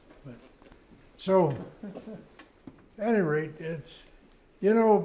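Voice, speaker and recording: Speaking at a very slow pace with an American accent, a man with a high pitch uses lively intonation, and audible room echo surrounds his voice. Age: 90s. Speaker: veteran motorcycle racer and author. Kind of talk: interview before live audience. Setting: museum event before a live audience. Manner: halting, with many fillers.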